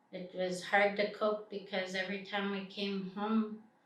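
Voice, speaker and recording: A woman's medium-pitched voice comes out in a monotone, with flat intonation. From British Columbia, Canada. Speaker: First Nations community member. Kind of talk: interview answer.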